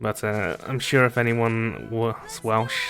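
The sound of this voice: What we hear is an unforced reading voice.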